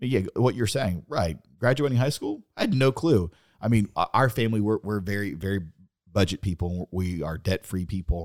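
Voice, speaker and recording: An unremarkable speaking voice from a man with an American accent, fairly low pitch, lively intonation and a moderate pace, in a dry, close sound with no echo and a very clean recording with a silent background. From Pontiac, Michigan. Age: 30s. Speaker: marriage and family therapist, co-host. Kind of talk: casual interview.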